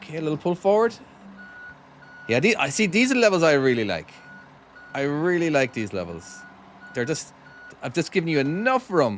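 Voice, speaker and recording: At a fairly quick pace, a man with a fairly high pitch speaks with very wide pitch swings and long, frequent pauses. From Ireland, County Cork. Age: 40s. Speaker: game developer and streamer. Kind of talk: live gameplay stream chat. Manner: casual, chatty with hesitations.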